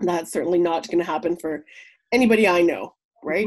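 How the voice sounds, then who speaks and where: Speaking with a Canadian accent at a fairly quick pace, a woman uses a fairly low pitch and ordinary pitch variation. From Yukon, Canada (Whitehorse). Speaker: entrepreneur, soap maker. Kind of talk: casual interview. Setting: remote call.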